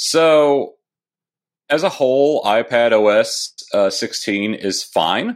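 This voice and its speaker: The recording is very clean, and the background is silent. A man talks with lively intonation. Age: 30s. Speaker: tech author. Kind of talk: interview.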